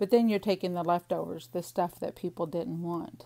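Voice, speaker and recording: A woman with a Missouri accent and a dark, mellow tone speaks at a fairly low pitch with fairly even intonation on a very clean recording with a silent background. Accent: Missouri drawl, fully back. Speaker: crafter / planner vlogger. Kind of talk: casual chat while crafting. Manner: chatty, rambling talk-through.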